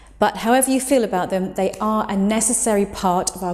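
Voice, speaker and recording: A woman with a British accent talks at a fairly quick pace with ordinary pitch variation. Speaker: English teacher. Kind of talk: English lesson to camera.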